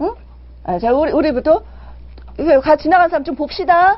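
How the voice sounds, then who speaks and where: A woman talks in an animated tone at a moderate pace. Her voice is high-pitched. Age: 50s. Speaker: parenting and sex education mentor hosting a live show. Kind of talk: live-streamed talk answering viewer chat. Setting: live broadcast with viewer chat.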